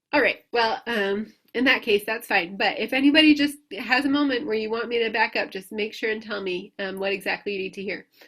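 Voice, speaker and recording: A woman with a fairly high pitch talks at a fairly quick pace, her pitch varying in an ordinary way. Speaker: sourdough baking teacher. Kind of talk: lecture Q&A. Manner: hesitant, many fillers.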